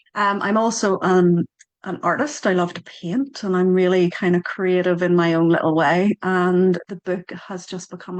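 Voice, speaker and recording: In a Northern Irish accent, a woman speaks at a medium pitch. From Northern Ireland. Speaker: author and Reiki teacher. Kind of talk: casual chat. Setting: video call.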